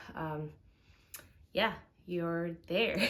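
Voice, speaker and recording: A woman's fairly low-pitched voice at a very slow pace. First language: Spanish. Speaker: vlogger. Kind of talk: casual advice talk. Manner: hesitant with many fillers.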